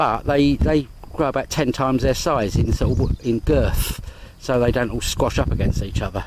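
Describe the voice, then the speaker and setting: Here a man speaks at a moderate pace with an English accent. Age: 60s. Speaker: vlogger. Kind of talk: casual vlog narration. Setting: outdoors. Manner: rambling, hesitant.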